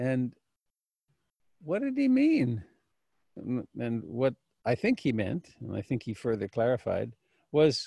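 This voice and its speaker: A man's somewhat breathy voice, dark and mellow in tone, at a fairly slow pace. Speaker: meditation teacher. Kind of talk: dharma talk. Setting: video call.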